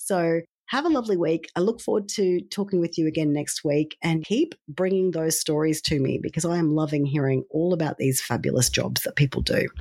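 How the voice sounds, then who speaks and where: With an Australian accent, a woman talks at a fairly quick pace with hardly any pauses. Her dark, mellow voice sits at a fairly low pitch with ordinary pitch variation. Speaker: podcast host. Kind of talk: podcast outro.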